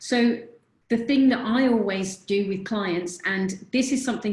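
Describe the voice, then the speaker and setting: A woman with a normal speaking voice talks at a moderate pace with fairly even intonation. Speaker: confidence coach. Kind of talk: webinar presentation.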